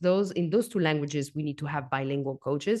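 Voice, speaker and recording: A non-native accent with lively intonation. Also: woman. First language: not English. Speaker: coffee consultant and educator. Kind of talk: podcast interview. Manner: halting, many fillers and repeats.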